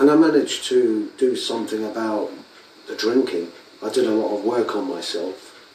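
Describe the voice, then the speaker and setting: A man speaks at a moderate pace. Noticeable background noise and audible room echo are present. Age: 50s. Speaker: video blogger. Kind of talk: reflective monologue.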